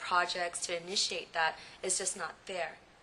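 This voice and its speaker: A woman with an American accent speaks in a fairly low pitch over noticeable background noise. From San Jose, California. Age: 20s. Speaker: recent law graduate. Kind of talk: personal testimony. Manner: halting, many fillers.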